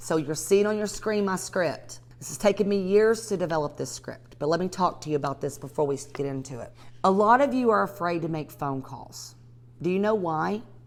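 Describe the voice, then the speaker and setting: The speaker has a strong Southern accent and an animated tone. The pitch swings very widely at a moderate pace. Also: woman. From US South, north Georgia. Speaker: real estate investor and coach. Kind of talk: live training webinar.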